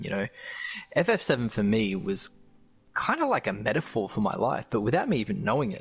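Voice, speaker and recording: A man with an Australian accent speaks at a fairly quick pace in a medium pitch, his intonation lively. He leaves long, frequent pauses while music plays in the background. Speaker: gaming streamer. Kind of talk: casual chat. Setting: live stream.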